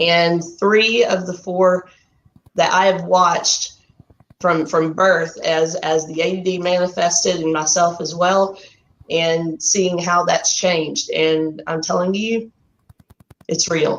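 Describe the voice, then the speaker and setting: A woman with a Texan accent speaks at a very slow pace, her fairly low pitch and fairly even intonation broken by long, frequent pauses. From Texas. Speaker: artist and program graduate. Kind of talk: livestream interview. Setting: Facebook Live video call.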